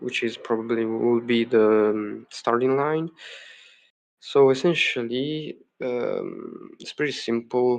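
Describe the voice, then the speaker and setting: Someone with a non-native accent talks at a fairly slow speed. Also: man. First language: not English. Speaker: game developer streamer. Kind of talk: live coding stream. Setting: home live stream. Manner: hesitant, many fillers.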